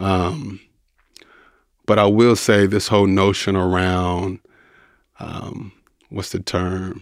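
Very deep and low in pitch, a man speaks at a very slow pace with fairly even intonation and long, frequent pauses. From Louisville, Kentucky (inner city). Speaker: artist and businessman. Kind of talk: interview conversation.

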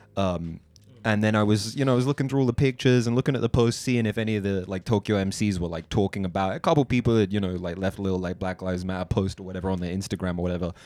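Ordinary pitch variation carries a man's very fast speech in a South London accent. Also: fairly low pitch for a man. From South London (Tooting). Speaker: writer and rapper. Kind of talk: casual chat.

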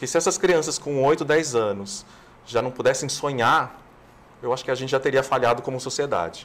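A man talks at a fairly quick pace in a normal speaking voice. His pitch is medium, with ordinary pitch variation. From Brazil, São Paulo city. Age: 50s. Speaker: TV screenwriter and producer. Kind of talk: interview.

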